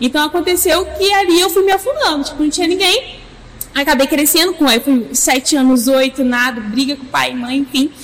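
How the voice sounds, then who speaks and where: A high-pitched woman's voice at a moderate pace. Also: ordinary pitch variation. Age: 20s. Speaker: church youth leader. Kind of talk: casual chat.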